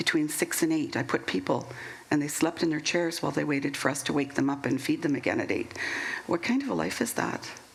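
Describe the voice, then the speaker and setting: Very fast speech from a woman, with noticeable background noise. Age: 60s. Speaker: former nursing home worker. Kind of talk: panel discussion.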